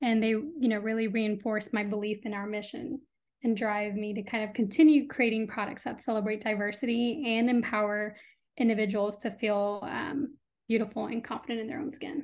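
In a plain, everyday voice with a General American accent, a woman speaks at a fairly quick pace with fairly even intonation. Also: fairly high pitch for a woman. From US Midwest and Texas (Illinois, then Austin). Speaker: skincare brand founder. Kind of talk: interview.

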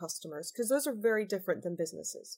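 An American-accented woman speaks with lively intonation at a fairly high pitch. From US-born, living in UK. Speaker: customs and trade adviser. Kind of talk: expert interview.

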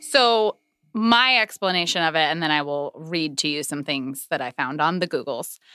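Over music in the background, a woman with an American accent speaks at a moderate pace in a very deep, low pitch, her intonation lively and the sound dry and close with no echo. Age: 30s. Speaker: podcast guest. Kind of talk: casual chat.

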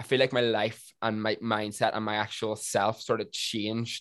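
Against a quiet background, a man with a Northern Irish accent talks at a moderate pace and medium pitch. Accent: Northern Irish (Tyrone). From Northern Ireland, County Tyrone. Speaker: TikToker. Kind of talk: casual chat.

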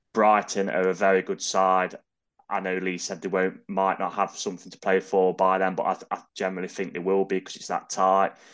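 In an East Midlands accent, a man speaks with a very deep, low voice in a flat monotone. His pace is fairly quick, and the background is quiet. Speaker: football fan pundit. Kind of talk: casual chat.

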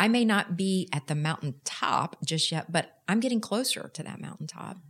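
A woman with a Texan accent is heard in a very clean recording against a silent background. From Texas. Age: 50s. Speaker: nonprofit executive director. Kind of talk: casual interview.

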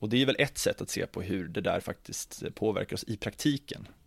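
A man speaks in an unremarkable speaking voice at a moderate pace with ordinary pitch variation, captured in a very clean recording with a silent background. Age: 30s. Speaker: ethnology doctoral researcher. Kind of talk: interview conversation.

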